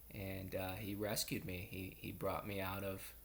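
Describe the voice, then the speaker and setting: With a Pittsburgh accent, a man at a fairly low pitch speaks at a very slow pace. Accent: Western Pennsylvania (Pittsburgh) American. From US, Pittsburgh, Pennsylvania. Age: 30s. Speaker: student. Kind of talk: personal introduction video. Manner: halting, many fillers.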